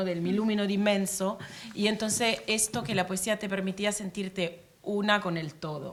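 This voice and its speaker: This woman's voice sits at medium pitch with ordinary pitch variation. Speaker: poet and diplomat. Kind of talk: panel talk. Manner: hesitant, many fillers.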